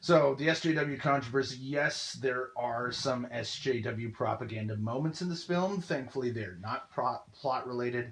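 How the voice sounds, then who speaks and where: Somewhat breathy, a man speaks with hardly any pauses and ordinary pitch variation. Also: medium pitch for a man, moderate pace. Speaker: film reviewer, video commentator. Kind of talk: monologue film review. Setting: audio-only recording. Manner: hesitant, many fillers.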